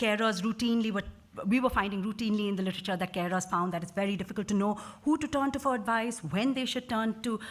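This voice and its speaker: A woman talks at a very fast pace. Her medium-pitched voice is somewhat breathy. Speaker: researcher. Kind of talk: conference presentation. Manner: halting.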